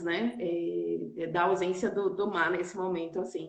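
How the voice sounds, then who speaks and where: Speaking at a medium pitch, a woman's voice carries audible room echo. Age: 40s. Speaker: nurse and auditor, entrepreneur. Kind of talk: casual chat. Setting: online live stream.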